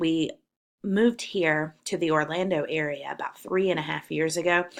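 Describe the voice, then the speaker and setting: Heard in a very clean recording with a silent background, a woman with a Southern US accent speaks at a fairly slow pace with ordinary pitch variation. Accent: Southern twang. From South Carolina. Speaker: college English professor. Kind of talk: course welcome video.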